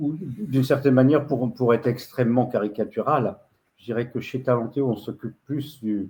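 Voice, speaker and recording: At a moderate pace, a man talks in a medium pitch with a somewhat breathy, dark and mellow tone. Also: ordinary pitch variation. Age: 70s. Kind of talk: video-call presentation. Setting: video call. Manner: halting, many hesitations.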